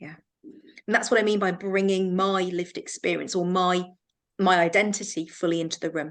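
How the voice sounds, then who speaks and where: A woman with an English accent speaks at a moderate pace, her medium-pitched voice keeping a fairly even intonation. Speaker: counselling supervision trainer. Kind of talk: online training session discussion.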